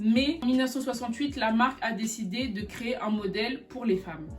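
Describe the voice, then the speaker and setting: A woman's fairly high-pitched voice with fairly even intonation, music in the background. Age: 20s. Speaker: fashion YouTuber. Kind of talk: casual video explainer.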